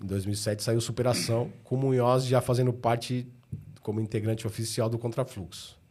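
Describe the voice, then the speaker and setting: Somewhat breathy speech at a moderate pace, with fairly even intonation. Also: man. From São Paulo, Ipiranga. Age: 40s. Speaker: rapper. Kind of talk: casual chat.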